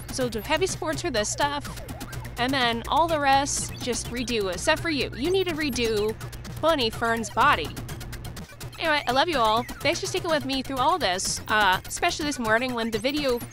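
The speech moves at a moderate pace with a dry sound and no echo, while clear music plays in the background. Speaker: 3D printing streamer. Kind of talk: casual vlog chat. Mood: mildly disappointed, wry. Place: home room. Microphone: phone near.

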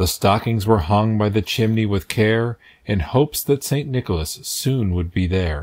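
A man's fairly low, gentle, sing-song voice at a moderate pace, lively in intonation, over a quiet background. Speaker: read-aloud narrator. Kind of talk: reading aloud a children's Christmas poem, storybook narration. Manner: gentle, rhythmic, sing-song storyteller's cadence. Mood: gentle festive storytelling. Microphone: phone near.

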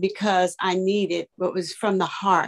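A woman speaking at a very slow pace against a quiet background. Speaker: church elder; guest. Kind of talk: testimony. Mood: earnest, reflective. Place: home room. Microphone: video call.

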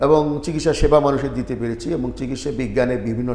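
This man's medium-pitched voice, with ordinary pitch variation, carries audible room echo. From Sylhet, Bangladesh. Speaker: retired medical professor and writer. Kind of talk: interview.

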